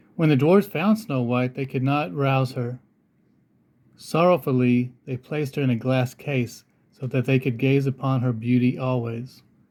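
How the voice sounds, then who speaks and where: A man of medium pitch with an ordinary speaking voice talks at a moderate pace with ordinary pitch variation. The recording is very clean with a silent background. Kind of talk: children's storybook read-aloud.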